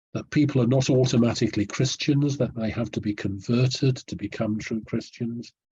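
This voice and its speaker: Speaking at a moderate pace in a British accent, a man has a medium-pitched, somewhat breathy voice with a dark, mellow tone. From Britain. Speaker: historian. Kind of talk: interview answer, explanatory. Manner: measured, formal.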